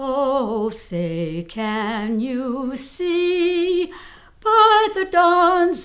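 Music in the background behind a woman's high voice, very slow, with very wide pitch swings. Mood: warm, patriotic. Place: home room. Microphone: phone near.

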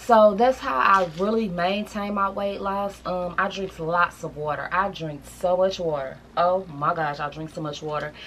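Light background noise sits under speech at a moderate pace with ordinary pitch variation. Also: woman, fairly low pitch for a woman. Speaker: lifestyle vlogger. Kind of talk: casual vlog chat. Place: home room.

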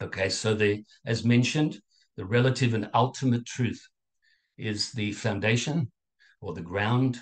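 A man talks at a medium pitch with ordinary pitch variation and a somewhat breathy quality. Long, frequent pauses break up his speech. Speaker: Buddhist dharma teacher. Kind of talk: dharma talk. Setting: video call. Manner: halting with filler words.

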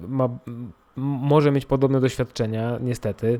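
A man speaks with a Polish accent at a medium pitch and a moderate pace. His tone is dark and mellow, and his intonation fairly even. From Poland. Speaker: podcaster. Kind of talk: personal monologue. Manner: halting.

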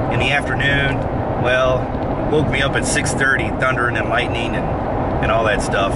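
At a moderate pace, a man talks with a dry sound and no echo, over loud background noise. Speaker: airfield owner vlogger. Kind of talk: casual vlog chat. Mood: mildly frustrated about weather. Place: car. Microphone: phone near.

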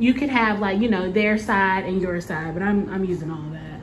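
With light noise behind her, the woman speaks with ordinary variation in pitch. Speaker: single mom vlogger. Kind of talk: casual vlog chat. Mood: happy, excited. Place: empty room. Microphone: phone near.

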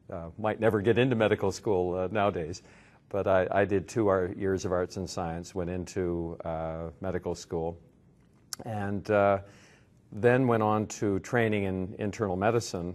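Very deep and low, a man's voice moves at a moderate pace with fairly even intonation. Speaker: interviewee. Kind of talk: interview answer. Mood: relaxed, reflective, occasionally amused. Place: hall.

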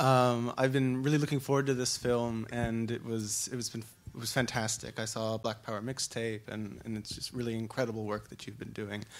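Barely pausing, a man with an American accent speaks at a medium pitch in a monotone, flat intonation. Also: fairly quick pace. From US, Irish American. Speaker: audience member. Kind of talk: audience question. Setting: stage with audience. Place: hall.

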